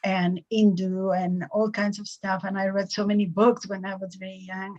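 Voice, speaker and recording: Her voice sits at a medium pitch. This woman sounds somewhat breathy. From Peru, Cusco. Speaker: spiritual teacher. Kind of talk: interview.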